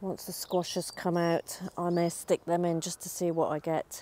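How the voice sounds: A woman talks at a slow pace in a dark, mellow tone. Her pitch is fairly low, with little pitch movement.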